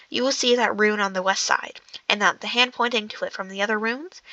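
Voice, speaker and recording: Speaking at a very fast pace, a woman has a bright, sharp tone and ordinary pitch variation, recorded dry and close with no echo against a quiet background. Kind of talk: novel reading. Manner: halting, stumbling.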